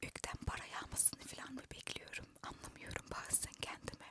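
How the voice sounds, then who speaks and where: Whispering at a fairly slow pace, a woman talks. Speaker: ASMR content creator. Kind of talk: casual talk to camera. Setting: inside a parked car. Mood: reflective, self-questioning. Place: car. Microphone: handheld.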